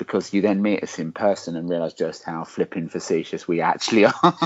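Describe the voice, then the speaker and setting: The voice belongs to a man with an Essex accent. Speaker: podcast co-host. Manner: facetious, jokey.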